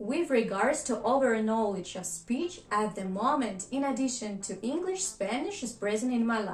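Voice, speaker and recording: This woman's pitch is fairly high, and her intonation is lively. She talks at a moderate pace with hardly any pauses while music plays in the background. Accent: Russian. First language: Russian. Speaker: vlogger. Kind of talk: scripted narration.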